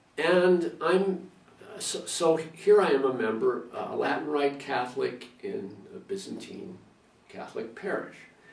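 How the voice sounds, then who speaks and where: A man's high-pitched voice, fairly slow and lively in intonation, with big swings in loudness, audible room echo and noticeable background noise. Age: 60s. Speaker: church member. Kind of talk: testimony. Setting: interview. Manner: halting, many repetitions and fillers.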